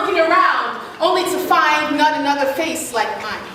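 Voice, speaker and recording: Over noticeable background noise, a woman speaks at a fairly slow pace in a raised, projected voice with an extremely high pitch. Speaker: spoken word poet. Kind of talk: spoken word performance.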